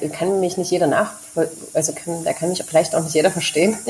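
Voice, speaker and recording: A woman speaks with a fairly low pitch. Her pitch varies in an ordinary way. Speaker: expat mother living abroad. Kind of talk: casual interview chat.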